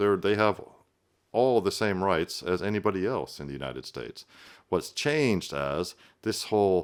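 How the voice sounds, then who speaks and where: Pitched fairly low, a man with an ordinary speaking voice talks at a moderate pace with lively intonation on a very clean recording with a silent background. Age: 50s. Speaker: political commentator. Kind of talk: reaction commentary. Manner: conversational with fillers.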